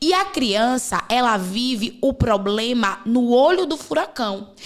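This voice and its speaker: In a Bahian accent, a woman with a high-pitched voice and lively intonation speaks very slowly. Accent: Bahian Brazilian Portuguese. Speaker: podcast host, women's coach. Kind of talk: podcast conversation.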